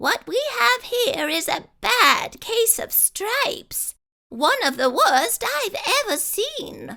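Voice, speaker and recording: Squeaky and extremely high in pitch, a woman's put-on character voice moves at a very slow pace with very wide pitch swings. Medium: read story. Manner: gentle, bright.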